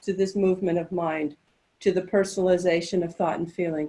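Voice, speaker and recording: This is a woman speaking with an American accent. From United States. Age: 60s. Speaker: spiritual teacher. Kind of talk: spiritual talk. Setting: webinar. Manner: halting.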